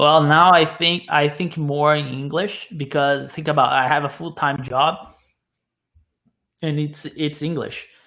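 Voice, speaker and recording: A man with a Portuguese accent, fairly high in pitch, with a bright, sharp tone, monotone, flat intonation and a fairly slow pace. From Brazil. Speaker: car YouTuber. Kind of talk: casual chat. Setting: live stream podcast.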